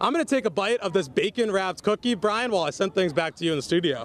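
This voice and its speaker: Noticeable background noise around a man's high voice. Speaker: sports anchor and reporter. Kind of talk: TV news standup reporting.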